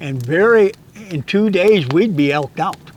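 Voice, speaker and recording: Against noticeable background noise, a man speaks with lively intonation and an American accent. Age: 80s+. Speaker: hunting guide and instructor. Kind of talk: casual chat. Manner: halting, with repetitions and stutters.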